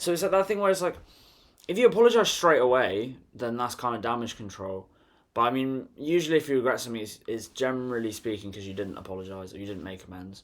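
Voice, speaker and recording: A man speaks at a very fast pace with very wide pitch swings and big swings in loudness. The recording is very clean, with a silent background. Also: medium pitch for a man. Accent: British. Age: 20s. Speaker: vlogger. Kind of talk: casual monologue. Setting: bedroom. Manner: laughing.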